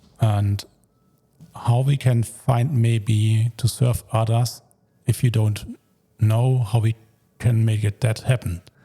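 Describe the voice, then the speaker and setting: A very slow, monotone voice with a German accent, dark and mellow in tone, somewhat breathy, very even in loudness, and full of long, frequent pauses. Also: man, medium pitch for a man. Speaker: podcast host, stem cell donor. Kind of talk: casual conversation. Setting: at home.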